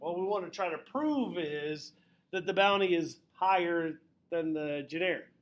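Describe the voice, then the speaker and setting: A loud man's voice, high in pitch, with ordinary pitch variation and a moderate pace. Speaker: high school statistics teacher. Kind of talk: classroom lecture. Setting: classroom with students.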